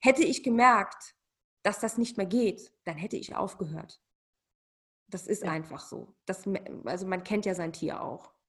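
A somewhat breathy woman at medium pitch speaks at a fairly slow pace with lively intonation, big swings in loudness and long, frequent pauses. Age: 40s. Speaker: cat behaviour consultant. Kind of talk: casual interview.

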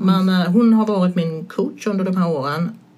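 A woman speaks at a moderate pace and medium pitch, with noticeable background noise. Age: 60s. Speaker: stand-up comedian. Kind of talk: casual chat.

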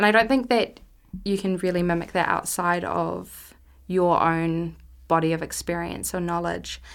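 Fairly low-pitched and fairly even in intonation, this woman's speech moves at a moderate pace. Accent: New Zealand. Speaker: film festival program manager. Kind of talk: interview.

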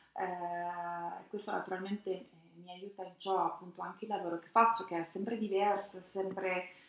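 A woman at medium pitch, speaking at a fairly slow pace amid noticeable background noise. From Romagna, Italy (Brisighella, near Tuscan border). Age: 40s. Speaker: food journalist and magazine publisher. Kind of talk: interview.

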